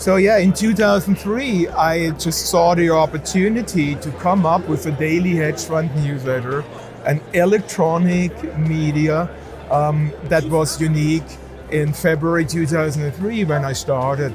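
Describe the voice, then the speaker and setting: A man speaks fairly slowly in a fairly high voice with ordinary pitch variation. Room echo is audible and music plays in the background. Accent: German. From Germany. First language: German. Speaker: financial media founder. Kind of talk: interview.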